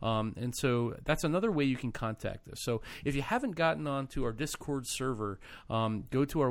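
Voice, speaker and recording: A man with an American accent and an unremarkable speaking voice, at a moderate pace, on a very clean recording with a silent background. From United States. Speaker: podcast host. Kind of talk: casual chat.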